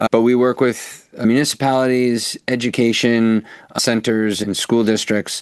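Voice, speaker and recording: A man speaks in a plain, everyday voice with an American accent, his pitch medium and his pace moderate. The sound is dry and close, with no echo. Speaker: violence prevention consultant. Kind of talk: interview.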